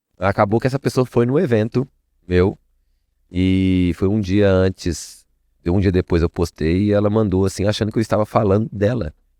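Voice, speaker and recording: A man with a Minas Gerais accent speaks at a moderate pace in a fairly low pitch and a dark, mellow tone, with ordinary pitch variation and very even loudness, in a very clean recording with a silent background and a dry, close sound with no echo. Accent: Mineiro (Minas Gerais) Portuguese. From Minas Gerais, Brazil. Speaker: networking entrepreneur. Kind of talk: podcast interview. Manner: casual, conversational.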